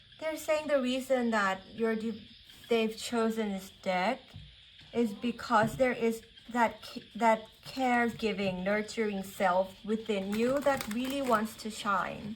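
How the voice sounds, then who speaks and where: A woman speaks with a Thai accent at a very slow pace. Her voice is fairly high, with ordinary pitch variation. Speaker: tarot reader. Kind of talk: spiritual reading. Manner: halting, many fillers.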